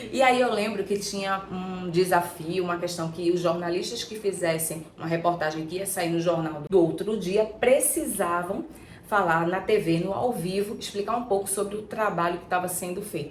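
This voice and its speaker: Over noticeable background noise and audible room echo, a woman with a medium-pitched voice talks at a moderate pace with hardly any pauses and ordinary pitch variation. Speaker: archetype therapist, YouTuber. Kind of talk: personal storytelling vlog. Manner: casual, conversational.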